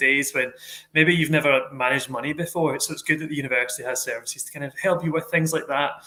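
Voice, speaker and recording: A man with a Glaswegian accent at a very fast pace, his intonation fairly even. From Scotland, Glasgow. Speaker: university staff host of student Q&A. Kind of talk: live Q&A moderation. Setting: live online stream.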